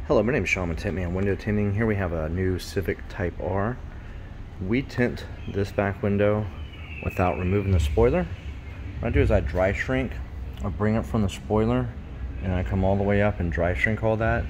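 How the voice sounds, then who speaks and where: A man speaks at a moderate pace with a very deep, low pitch. Long, frequent pauses break up his speech, and there is light background noise. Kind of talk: tutorial. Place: garage. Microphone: phone near.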